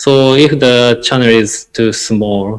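A man speaks with a Japanese accent. His pitch varies in an ordinary way. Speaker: interventional cardiologist; guest. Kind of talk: lecture. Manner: halting. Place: home room. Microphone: earbuds.

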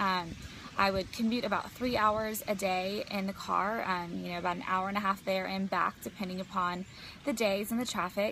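In a dry sound with no echo and light background noise, a woman with a bright, sharp tone speaks at a moderate pace with fairly even intonation. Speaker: business coach. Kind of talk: casual vlog chat. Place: garden. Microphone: phone near.

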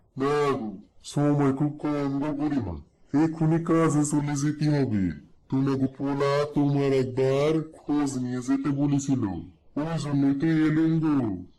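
Using a cartoonish character voice, a man speaks fairly high at a moderate pace. His intonation stays fairly even, and an echo is audible. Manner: smooth-talking, wheedling.

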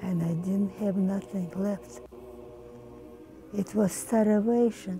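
A woman with a medium pitch speaks at a very slow pace with lively intonation, faint music playing in the background. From Ukraine. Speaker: centenarian interviewee; interviewee. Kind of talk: oral history interview. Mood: somber, recalling hardship. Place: home room.

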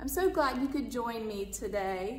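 A woman at a high pitch and a fairly slow pace, with audible room echo and faint music in the background. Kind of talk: storytime read-aloud and greeting. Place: home room. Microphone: phone near.

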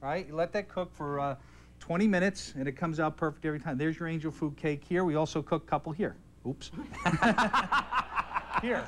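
Over noticeable background noise, a man talks at a fairly quick pace with ordinary pitch variation. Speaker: guest. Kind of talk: cooking demonstration. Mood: playful banter. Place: stage. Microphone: lapel.

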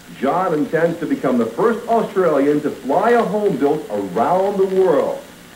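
A man speaks at a moderate pace in a room with audible echo and light background noise. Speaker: TV sports narrator. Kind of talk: documentary narration. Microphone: old recording.

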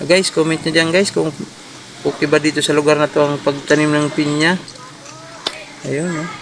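Over noticeable background noise, a man speaks at a fairly quick pace in a flat monotone, leaving long, frequent pauses. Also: fairly high pitch for a man. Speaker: vlogger. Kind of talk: casual vlog narration. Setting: outdoors on a farm field.

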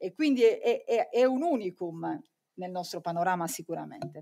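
With a normal speaking voice and lively intonation, a woman talks at a moderate pace over a quiet background. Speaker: journalist and moderator. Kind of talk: conference moderation. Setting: stage with audience. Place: hall. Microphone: podium.

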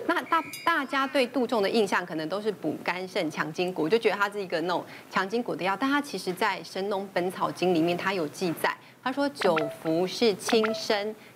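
Speaking with a Taiwanese accent, a woman uses a medium pitch and lively intonation at a moderate pace. Noticeable background noise is present. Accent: Taiwanese Mandarin. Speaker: traditional Chinese medicine doctor; panelist. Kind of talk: TV talk show discussion. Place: studio. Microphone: lapel.

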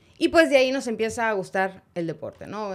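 Her pitch swings very widely as this woman talks at a fairly slow pace. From Mexico, Monterrey; Nuevo León, Mexico. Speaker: sports journalist. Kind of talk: interview. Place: studio. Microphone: studio mic.

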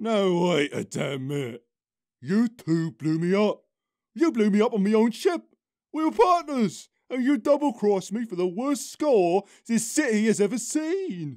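A man puts on a character voice, loud and high-pitched. He keeps a moderate pace. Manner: loud, indignant, blustering.

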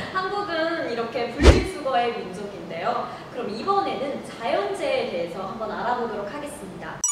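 Amid loud background noise and audible room echo, a woman talks at a moderate pace with hardly any pauses. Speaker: program host / moderator. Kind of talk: hosted discussion program. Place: meeting room.

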